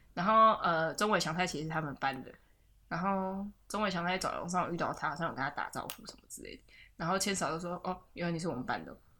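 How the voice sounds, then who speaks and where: A woman with a Taiwanese accent at a very fast pace, her bright, sharp tone showing big swings in loudness and ordinary pitch variation. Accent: Taiwanese Mandarin. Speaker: podcast host. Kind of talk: casual chat. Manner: frequent laughter and fillers.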